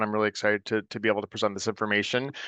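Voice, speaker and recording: Bright and sharp in tone, a man's medium-pitched voice keeps a fairly even intonation in a dry, close recording with no echo. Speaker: family physician. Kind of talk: lecture. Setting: video call. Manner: fast.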